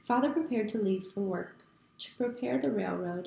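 Natural-sounding voice, read aloud

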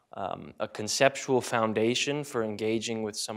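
Over a quiet background, a normal speaking voice moves at a moderate pace. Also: man. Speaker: conference presenter. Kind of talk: academic talk. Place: classroom. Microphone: handheld.

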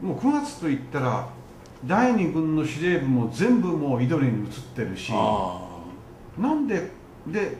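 Noticeable background noise fills the recording. Through it, a man speaks at a fairly slow pace. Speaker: interviewer. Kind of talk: interview question.

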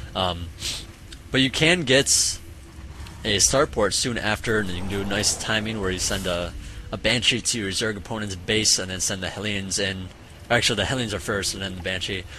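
A man's fairly low voice with ordinary pitch variation, fairly quick delivery, long and frequent pauses, noticeable background noise and audible room echo. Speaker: esports caster. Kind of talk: live commentary. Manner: casual, filler-heavy.

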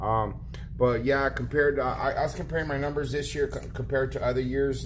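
Light background noise accompanies a man talking fairly quickly. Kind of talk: casual vlog chat. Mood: frustrated but resigned. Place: shop. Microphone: phone near.

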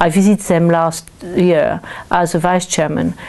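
A woman with a French accent, fairly low in pitch, with monotone, flat intonation at a moderate pace. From France. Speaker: local councillor; council chairman. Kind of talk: interview; interview answer. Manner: halting. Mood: calm, pleasant. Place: home room.

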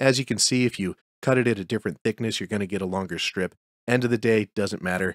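A man at a very fast pace with ordinary pitch variation, dry sound with no echo, and a quiet background. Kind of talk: tutorial.

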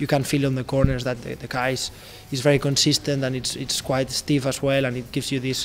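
A man talking at a very fast pace in a flat monotone, over light background noise. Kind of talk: interview answer. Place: garage. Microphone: handheld.

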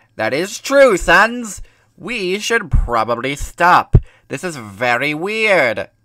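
A man's put-on character voice, raised and projected, high in pitch, at a very slow pace with very wide pitch swings. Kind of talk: comic overacting. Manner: loud, excitable.

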